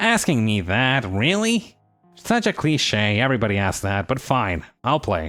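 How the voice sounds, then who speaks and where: A man performs a put-on character voice. He holds a medium pitch at a moderate pace. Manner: exasperated, groaning.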